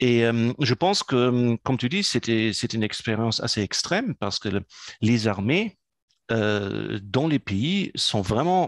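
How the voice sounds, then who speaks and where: A very slow-speaking man with a German accent and ordinary pitch variation, in a dry, close sound with no echo. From German, raised in Africa. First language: German (speaking French). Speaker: entrepreneur and business consultant. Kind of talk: interview. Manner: hesitant, many fillers.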